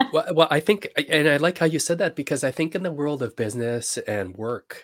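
A man with a Canadian accent and an ordinary speaking voice, moderate pace and lively intonation, dry, close sound with no echo, in a very clean recording with a silent background. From Canada. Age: 40s. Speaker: coach and investor. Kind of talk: interview podcast.

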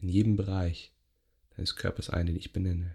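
The tone is gentle and calm, on a very clean recording with a silent background. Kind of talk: guided meditation (yoga nidra). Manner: slow, soft, gentle, calm, with long pauses.

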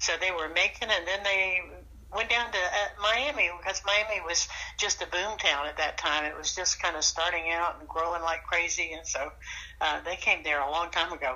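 In a Southern US accent, a woman talks at a moderate pace and medium pitch with ordinary pitch variation. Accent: Southern US (Georgia). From US South, rural South Georgia. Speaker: retired flight attendant, grandmother. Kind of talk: casual interview.

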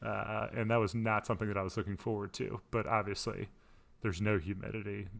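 The recording is very clean, with a silent background. A man with vocal fry and a fairly low pitch talks at a fairly quick pace in fairly even intonation. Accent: American. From Florida. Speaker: podcast co-host, college sports broadcast director. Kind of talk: casual chat.

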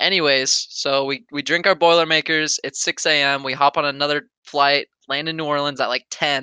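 A man speaks at a fairly high pitch with a bright, sharp tone and monotone, flat intonation. The sound is dry and close with no echo, over a quiet background. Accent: American. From US Pacific Northwest (Oregon). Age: 20s. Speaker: podcast co-host. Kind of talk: casual chat. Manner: halting, many fillers.

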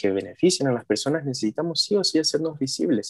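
A man talks at a very fast pace and a fairly high pitch, with very wide pitch swings. The sound is dry and close, with no echo. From Mexico. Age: 20s. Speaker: journalism student and HIV activist. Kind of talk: casual interview conversation.

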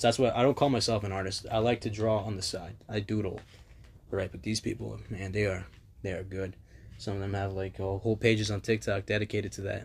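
Somewhat breathy and fairly quick, the voice keeps a fairly even intonation. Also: man. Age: 20s. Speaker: podcast host. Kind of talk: casual monologue. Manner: casual, hesitant with fillers.

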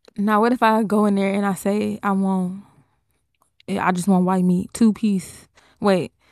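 A woman speaks in a flat monotone, leaving long, frequent pauses. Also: medium pitch for a woman, moderate pace. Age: 20s. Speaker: podcast co-host. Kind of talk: casual chat.

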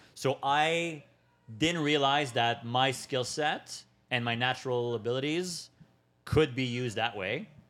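A man's ordinary speaking voice at medium pitch, at a fairly slow pace with ordinary pitch variation, on a very clean recording with a silent background. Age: 30s. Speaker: online business consultant. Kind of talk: casual interview chat.

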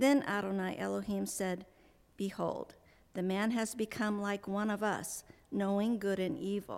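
A woman speaks at a fairly slow pace in an unremarkable speaking voice. Her pitch is medium and her intonation fairly even. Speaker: congregation scripture reader. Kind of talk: scripture reading.

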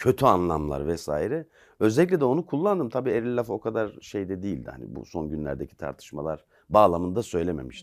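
Vocal fry at a fairly quick pace, with very wide pitch swings and big swings in loudness, in a very clean recording with a silent background. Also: man, very deep, low pitch for a man. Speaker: investigative journalist and author. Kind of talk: interview.

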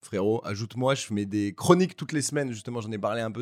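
Speaking at a very fast pace, a man uses a medium pitch with ordinary pitch variation. The recording is very clean, with a silent background. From Paris, France (7th arrondissement). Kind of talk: casual chat.

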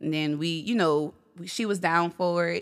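A woman with an American accent speaks at a moderate pace and a fairly low pitch in a plain, everyday voice. The recording is very clean, with a silent background. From Gretna, Louisiana, US South. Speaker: DJ. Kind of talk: casual interview chat.

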